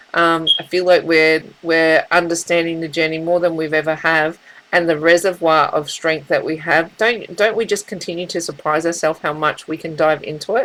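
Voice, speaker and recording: Barely pausing, a woman with an Australian accent speaks at a moderate pace in a fairly low pitch with fairly even intonation. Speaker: tarot reader. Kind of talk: spiritual reading monologue. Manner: halting, with many fillers and repeats.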